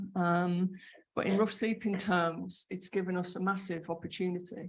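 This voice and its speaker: Her medium-pitched voice somewhat breathy, a woman speaks with monotone, flat intonation. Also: moderate pace. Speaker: homelessness program manager. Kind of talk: conference panel talk. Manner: halting, frequent fillers and repetitions.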